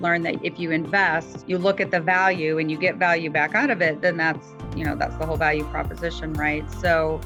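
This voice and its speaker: A woman's fairly quick speech, with music in the background. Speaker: weight loss client. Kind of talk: testimonial interview answer.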